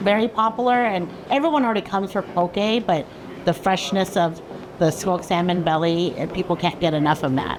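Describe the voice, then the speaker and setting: Over noticeable background noise, a woman with an American accent talks at a fairly quick pace with very even loudness. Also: medium pitch for a woman, ordinary pitch variation. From Seattle. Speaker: fish market co-owner. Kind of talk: interview.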